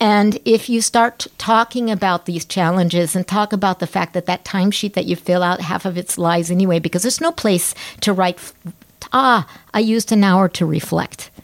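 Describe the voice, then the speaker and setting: With an American accent, a woman at medium pitch talks at a moderate pace with ordinary pitch variation, in a dry, close sound with no echo. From United States. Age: 60s. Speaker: anthropologist and psychologist. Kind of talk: interview conversation. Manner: animated.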